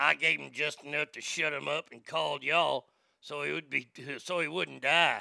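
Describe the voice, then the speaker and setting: A raspy, drawling put-on character voice from a man at fairly high pitch and moderate pace. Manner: drawling, trashy.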